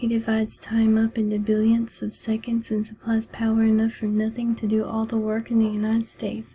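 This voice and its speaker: Someone soft-spoken talks at a fairly quick pace over music in the background. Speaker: ASMR book reader. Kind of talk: ASMR book reading.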